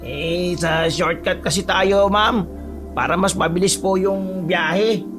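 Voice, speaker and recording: A man's put-on character voice, high in pitch, at a fairly slow pace over loud background music. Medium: read story.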